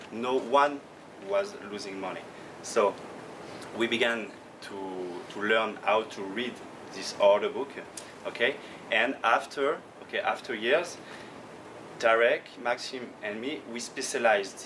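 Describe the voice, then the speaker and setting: A man with a French accent and medium pitch speaks at a fairly slow pace, with ordinary pitch variation, big swings in loudness, and long, frequent pauses. Noticeable background noise and audible room echo fill the recording. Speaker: professional trader. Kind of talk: conference talk. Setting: conference stage. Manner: halting.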